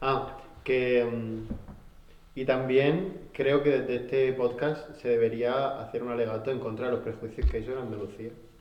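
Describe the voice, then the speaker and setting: With noticeable background noise and audible room echo, a man at a medium pitch talks at a fairly slow pace with fairly even intonation. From Murcia. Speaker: podcast co-host. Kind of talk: casual chat.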